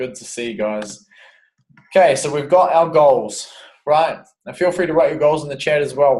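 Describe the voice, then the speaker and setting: With an Australian accent, a man speaks at a moderate pace in a fairly high, somewhat breathy voice, his pitch varying in an ordinary way, his loudness swinging widely and his long pauses coming often. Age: 20s. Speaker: fitness coach. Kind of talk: online webinar tutorial. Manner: casual.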